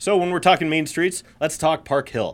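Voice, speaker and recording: The recording is very clean and the background silent. A man is the one talking. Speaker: podcast host. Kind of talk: casual comedic podcast banter.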